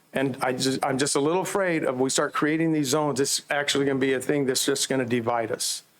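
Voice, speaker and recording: Over noticeable background noise, a man talks at a very fast pace in a fairly high pitch, his intonation fairly even and his loudness very even. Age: 60s. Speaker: campus minister. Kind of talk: public comment.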